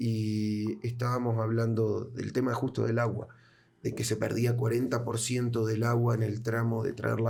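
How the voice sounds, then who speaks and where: In an audible room echo, a man with an Argentine accent speaks at a medium pitch. His voice is somewhat breathy, with monotone, flat intonation. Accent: Argentine Spanish (Rioplatense). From Argentina. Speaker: podcast host. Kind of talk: interview conversation.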